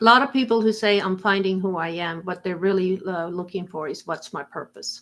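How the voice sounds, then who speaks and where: In an Estonian accent, a woman speaks at a fairly quick pace with hardly any pauses. Her pitch variation is ordinary. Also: medium pitch for a woman. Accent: Estonian accent, noticeable. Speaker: insurance agent. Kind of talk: live-streamed interview chat.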